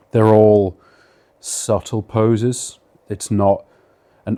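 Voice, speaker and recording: A man with a British accent has a fairly low, dark and mellow voice, recorded very cleanly over a silent background. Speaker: bodybuilder. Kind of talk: casual Q&A monologue. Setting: at home.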